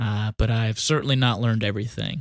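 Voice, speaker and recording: Recorded very cleanly against a silent background, the voice carries an American accent at a moderate pace, with a dry, close sound and no echo. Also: man. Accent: country accent, slight, stronger when tired. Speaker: union shop steward. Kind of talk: podcast talk, instructional. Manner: hesitant, many fillers.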